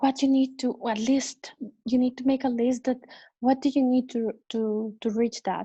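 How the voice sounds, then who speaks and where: Against a quiet background, a woman with a non-native accent speaks at a moderate pace in a high pitch, her tone dark and mellow and her intonation monotone and flat. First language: not English. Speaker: cruise ship crew member. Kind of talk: interview. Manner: halting.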